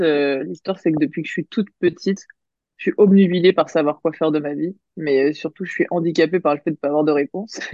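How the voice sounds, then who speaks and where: The speaker has a normal speaking voice, moves at a fairly quick pace, and keeps the intonation fairly even. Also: woman. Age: 30s. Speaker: business coach and entrepreneur. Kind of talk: interview.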